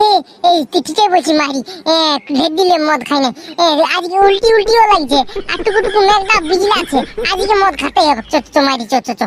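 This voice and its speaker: This is a cartoonish character voice pitched extremely high. It moves at a fairly quick pace. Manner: repetitive, excitable.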